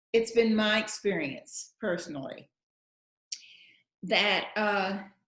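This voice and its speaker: The speaker has a strong Texan accent. The pace is very slow. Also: woman, medium pitch for a woman, ordinary pitch variation. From West Texas, Lubbock. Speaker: actress and writer. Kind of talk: interview at public talk. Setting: live event with online Q&A.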